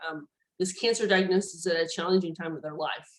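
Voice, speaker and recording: This woman talks in a Southern US accent. Her pitch is medium and her intonation fairly even. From Tennessee. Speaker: neurologist. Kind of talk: lecture. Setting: video call. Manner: hesitant, many fillers.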